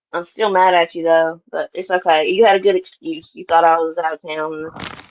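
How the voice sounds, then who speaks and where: The speaker talks at a moderate pace with a Tennessee accent. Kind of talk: casual chat.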